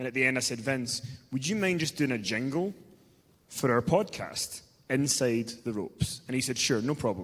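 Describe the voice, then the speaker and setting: A man with a Scottish accent at a medium pitch, lively intonation and a fairly quick pace. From Scotland. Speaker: podcast host. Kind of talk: live fan Q&A.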